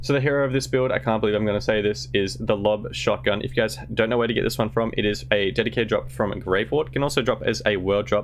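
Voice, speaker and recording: With vocal fry and very even loudness, a man speaks very fast at a fairly low pitch, hardly pausing while his pitch swings very widely. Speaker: gaming YouTuber. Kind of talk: gaming tutorial. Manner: enthusiastic.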